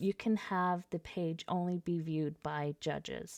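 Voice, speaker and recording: A plain, everyday voice moves at a fairly slow pace with ordinary pitch variation. The sound is dry and close with no echo, on a very clean recording with a silent background. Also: woman. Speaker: software tutorial presenter. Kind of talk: screen-recorded software tutorial.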